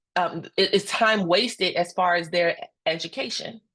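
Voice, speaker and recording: Loud and animated, a woman speaks at a moderate pace in a bright, sharp tone, her pitch varying in an ordinary way. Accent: American. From Indiana (Gary). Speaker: instructional coach and presenter. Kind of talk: professional webinar presentation.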